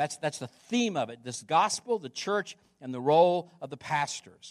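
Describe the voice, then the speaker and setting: The man has a high pitch. His intonation is lively. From US Midwest, Chillicothe. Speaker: pastor. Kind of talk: sermon. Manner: repetitive, halting restarts.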